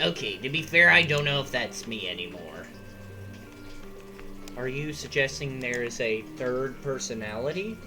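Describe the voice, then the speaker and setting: With loud music in the background, a put-on character voice at a low-to-middle pitch goes at a moderate pace with long, frequent pauses. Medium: machinima. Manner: exasperated, sarcastic.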